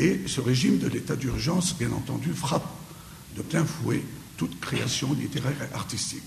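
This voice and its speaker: Audible room echo and noticeable background noise surround the voice. A man talks at a moderate pace. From Syria. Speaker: lecturer. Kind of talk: lecture. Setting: conference hall with audience. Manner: hesitant, many filler pauses.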